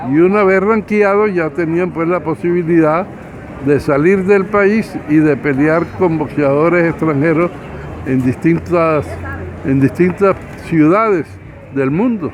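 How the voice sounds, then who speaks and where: Over noticeable background noise, a man speaks in a high pitch with ordinary pitch variation at a fairly slow pace, with long, frequent pauses. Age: 80s+. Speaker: boxing official. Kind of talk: interview. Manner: halting.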